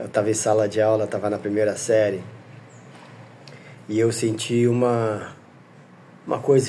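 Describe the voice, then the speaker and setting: A man speaks at a fairly slow pace in a medium-pitched voice. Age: 60s. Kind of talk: testimony. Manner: halting.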